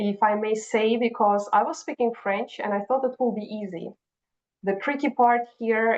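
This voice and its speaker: A woman with a Russian accent, fairly high-pitched, at a moderate pace and with fairly even intonation. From Kazakhstan. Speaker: HR and recruiting professional. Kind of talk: interview conversation.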